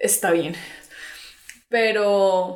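A woman talks at a very slow pace and a medium pitch. Audible room echo and noticeable background noise fill the recording. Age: 20s. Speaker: singer and psychologist. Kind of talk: casual interview.

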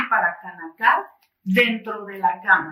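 A woman at a fairly high pitch and a very slow pace. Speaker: journalist interviewer. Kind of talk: interview. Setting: studio.

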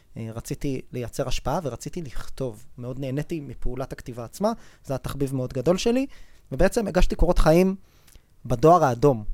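A man with a fairly high voice speaks in an ordinary speaking voice at a moderate pace, with lively intonation and big swings in loudness. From Israel, Rishon LeZion. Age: 30s. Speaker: venture capital investor. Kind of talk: interview.

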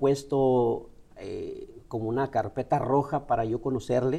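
A man with a Chihuahua Mexican accent speaks at a very slow pace in a medium-pitched voice with a dark, mellow tone. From northern Mexico (Ciudad Juárez, Chihuahua). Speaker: motivational speaker. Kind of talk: interview. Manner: halting.

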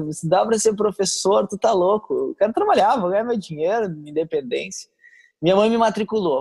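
A man's high-pitched voice at a moderate pace, dry and close with no echo. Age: 30s. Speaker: missionary. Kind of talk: casual interview.

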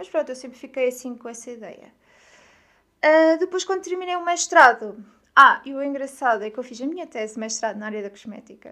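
Speaking at a fairly quick pace, a woman projects a raised voice with a bright, sharp tone, high pitch, lively intonation and big swings in loudness, all on a very clean recording with a silent background. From Portugal, Aveiro. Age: 20s. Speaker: podcast host, wellness content creator. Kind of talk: personal monologue.

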